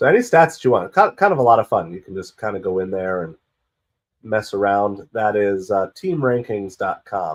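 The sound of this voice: A man speaks in a raspy, fairly low voice. His intonation is lively. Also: moderate pace.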